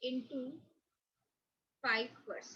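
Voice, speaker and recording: Raising and projecting her high voice, a woman speaks at a very slow pace with a bright, sharp tone. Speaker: accountancy teacher. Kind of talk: lecture. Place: home room. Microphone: webcam.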